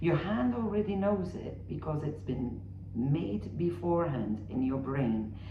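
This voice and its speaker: Noticeable background noise sits under this speaker. The delivery is fairly slow, with a non-native accent. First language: not English. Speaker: amateur painter and art vlogger. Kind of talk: casual tutorial vlog.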